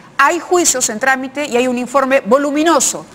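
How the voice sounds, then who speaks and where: Noticeable background noise sits behind a woman's high-pitched voice. Her intonation is lively. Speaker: TV news host. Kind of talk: TV news commentary.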